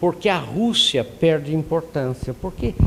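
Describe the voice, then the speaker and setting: His intonation is lively as a man talks very slowly. His pitch sits fairly high. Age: 70s. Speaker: lecturer. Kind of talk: lecture. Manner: conversational, many fillers.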